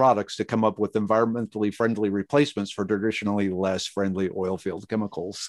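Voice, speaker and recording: Over a quiet background, a man with an American accent and a fairly low pitch talks very fast, the sound dry and close with no echo. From Minnesota, US Midwest. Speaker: chemist and plant expert. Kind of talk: casual interview.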